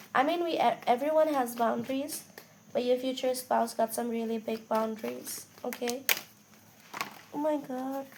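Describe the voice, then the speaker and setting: The voice is quiet, with ordinary pitch variation at a fairly slow pace. Noticeable background noise sits behind it. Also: woman. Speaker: tarot reader. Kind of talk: tarot reading. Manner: casual, conversational.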